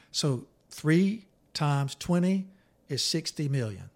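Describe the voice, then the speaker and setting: A somewhat breathy man with lively intonation on a very clean recording with a silent background. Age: 60s. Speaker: therapist and author. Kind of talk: casual chat.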